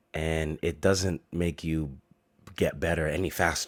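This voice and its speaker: A man's very deep, low voice with vocal fry, fairly slow and fairly even in intonation, in a very clean recording with a silent background. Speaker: podcast host. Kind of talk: casual chat. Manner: casual, swearing-laced talk.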